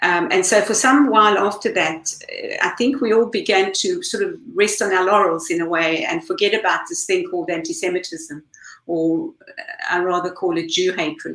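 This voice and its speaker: Speaking at a moderate pace with an South African accent, this voice makes very wide pitch swings. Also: woman, medium pitch for a woman. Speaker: campaign group leader. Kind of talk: panel discussion.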